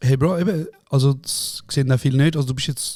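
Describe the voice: A man speaks at a medium pitch with a slightly mellow tone.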